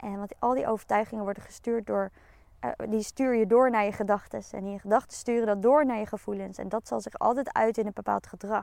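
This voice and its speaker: This woman has an ordinary speaking voice with a fairly high pitch. Her intonation stays fairly even. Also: fairly quick pace. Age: 30s. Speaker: podcast host, coach. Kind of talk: solo podcast monologue.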